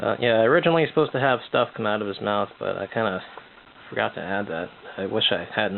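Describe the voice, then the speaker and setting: A mumbling man at a very fast pace, with lively intonation. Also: fairly low pitch for a man. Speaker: amateur artist showing sketchbook. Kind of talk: casual art update monologue. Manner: hesitant, many fillers.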